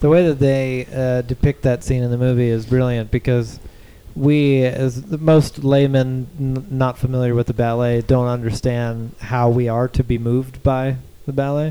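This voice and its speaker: This man has an ordinary speaking voice, pitched in the middle range, moving at a moderate pace with fairly even intonation. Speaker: podcast host. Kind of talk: casual podcast discussion, scripted intro.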